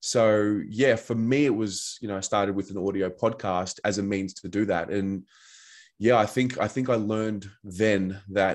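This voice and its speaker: Against a quiet background, someone with an Australian accent speaks with fairly even intonation. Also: man. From Australia, Melbourne. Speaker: football fan and podcaster. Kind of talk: podcast interview. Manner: hesitant, many fillers.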